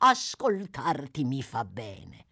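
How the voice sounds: Putting on a character voice, a woman speaks slowly at an extremely low pitch with vocal fry, a slightly husky edge, a fairly bright tone, and very wide pitch swings, all on a very clean recording with a silent background.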